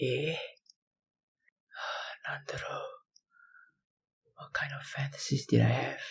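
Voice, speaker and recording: A man in a raspy, soft-spoken put-on character voice talks at a fairly slow pace with long, frequent pauses. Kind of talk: audio roleplay.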